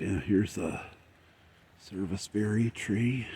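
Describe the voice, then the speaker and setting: A man whispers. Noticeable background noise can be heard. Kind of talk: ASMR whispered tour narration. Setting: outdoors, poolside yard in rainy weather. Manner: whispered, soft-spoken.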